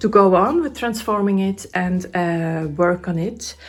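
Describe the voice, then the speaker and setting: A woman's medium-pitched voice with ordinary pitch variation, music playing in the background. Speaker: craft YouTuber. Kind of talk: casual DIY tutorial vlog. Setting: home craft room. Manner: halting, many fillers.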